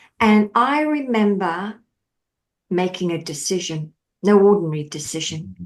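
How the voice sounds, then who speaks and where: A woman with an Australian accent, lively intonation, a fairly slow pace and long, frequent pauses over a quiet background. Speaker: mindset coach. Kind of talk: podcast interview. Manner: animated.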